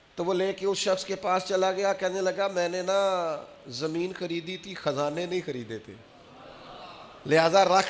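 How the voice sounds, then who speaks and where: A man's high-pitched voice amid noticeable background noise. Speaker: Islamic preacher giving a Friday sermon. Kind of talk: religious sermon, emotional delivery to an audience.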